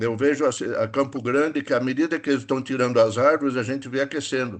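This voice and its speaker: His intonation is fairly even. The man talks very fast. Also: medium pitch for a man, quiet background. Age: 70s. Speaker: environmental professional, audience member. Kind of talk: Q&A question in online webinar.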